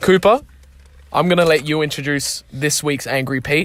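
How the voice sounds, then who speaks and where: This man has a fairly high pitch, an Australian accent, ordinary pitch variation and a moderate pace. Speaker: football club podcast host. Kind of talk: casual podcast chat. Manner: animated.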